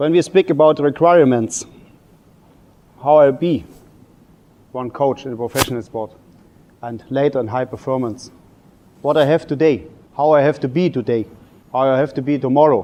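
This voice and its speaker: A man with a non-native accent speaks at a fairly high pitch with ordinary pitch variation. He leaves long, frequent pauses. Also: moderate pace. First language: German. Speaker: table tennis coach. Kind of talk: lecture. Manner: halting.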